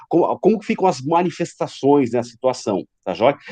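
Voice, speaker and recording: Against a quiet background with a dry, close sound and no echo, a man speaks at a high pitch in a dark, mellow tone. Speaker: high school philosophy teacher. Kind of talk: online class lecture.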